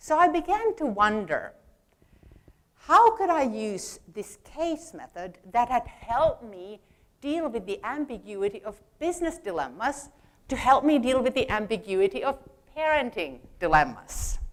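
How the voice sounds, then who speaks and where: With a non-native accent and a high pitch, a woman speaks at a fairly slow pace, with very wide pitch swings and big swings in loudness. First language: not English. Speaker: speaker, parent and engineer. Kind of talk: prepared talk.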